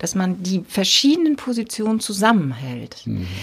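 A woman speaks at a fairly slow pace in a medium pitch. Her voice is somewhat breathy. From northern Germany, rural Dithmarschen. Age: 50s. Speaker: bishop and podcast host. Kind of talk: casual interview conversation.

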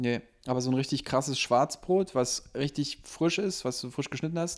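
A man's normal speaking voice at medium pitch, fairly slow, with ordinary pitch variation, on a very clean recording with a silent background. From Berlin (Lichtenberg). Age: 30s. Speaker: restaurant owner. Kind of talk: casual chat.

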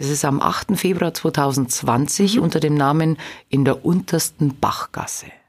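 A woman with a Bavarian accent, very deep and low in pitch, her loudness very even throughout. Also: ordinary pitch variation, fairly slow pace. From Lower Bavaria (Straubing-Bogen district). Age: 30s. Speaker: singer. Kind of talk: interview.

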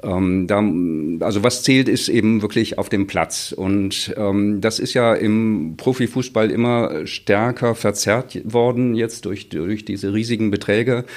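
Very slowly, a man speaks at a fairly low pitch with fairly even intonation. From Chile, then Bremen from age eight. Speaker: literature professor. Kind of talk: casual interview.

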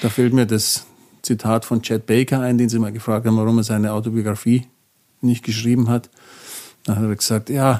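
In a very clean recording with a silent background, a man speaks fairly quickly at a medium pitch, his tone dark and mellow and his intonation flat and monotone. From Bavaria, near Munich. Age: 50s. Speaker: jazz double bassist and professor. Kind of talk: interview. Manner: halting, many fillers.

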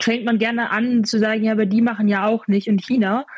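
A woman with a fairly high pitch speaks in a monotone, flat intonation, her voice somewhat breathy. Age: 20s. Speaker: climate activist, student. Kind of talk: interview. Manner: frequent fillers and repetitions.

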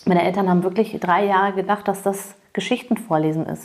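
Fairly quick speech comes from a woman. Her intonation stays fairly even. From US, Massachusetts (Cape Cod). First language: English (speaking German). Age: 40s. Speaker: interview guest. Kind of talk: casual interview.

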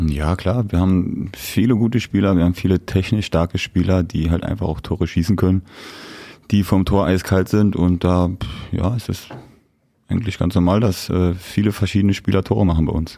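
Speaking at a moderate pace, a man uses a very deep, low pitch and a dark, mellow tone, with fairly even intonation. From Rhineland, western Germany (Siegburg/Cologne area). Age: 20s. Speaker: ice hockey player. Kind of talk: casual interview.

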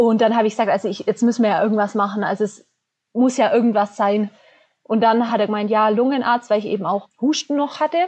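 Ordinary pitch variation in a woman's fairly high voice, delivered at a very fast pace. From Bavarian Swabia, southern Germany. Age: 20s. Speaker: business student and cancer patient. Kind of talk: interview, personal testimony.

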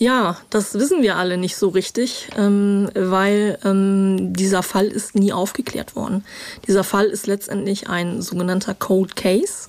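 A woman at a medium pitch speaks at a fairly slow pace with fairly even intonation. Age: 50s. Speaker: crime reporter. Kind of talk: interview. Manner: hesitant, many filler sounds.

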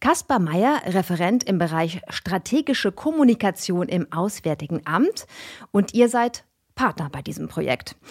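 A woman's medium-pitched voice at a fairly slow pace, with very wide pitch swings, a dry, close sound with no echo, and a very clean recording over a silent background. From Germany, Karlsruhe. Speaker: podcast host. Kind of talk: casual interview. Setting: studio.

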